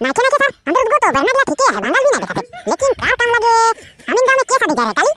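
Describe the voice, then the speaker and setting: The speech comes at a very fast pace in a cartoonish character voice. Its pitch is extremely high. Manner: excited, rambling.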